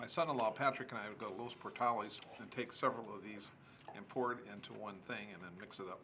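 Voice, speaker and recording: Over noticeable background noise, a man with an American accent talks at a very fast pace and a fairly low pitch, his loudness swinging widely. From US Midwest, Omaha, Nebraska. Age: 60s. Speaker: former youth pastor. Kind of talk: casual interview.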